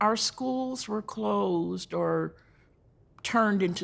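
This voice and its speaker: A woman speaks with a North Carolina accent. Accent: Southern US (North Carolina). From US South, North Carolina (Rowan County). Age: 70s. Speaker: community elder speaker. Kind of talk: talk to a church audience, personal history.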